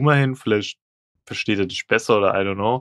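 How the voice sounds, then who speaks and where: Over a quiet background, a man speaks at a very fast pace in a medium-pitched voice, the sound dry and close with no echo. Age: 20s. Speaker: podcast co-host. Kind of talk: casual chat.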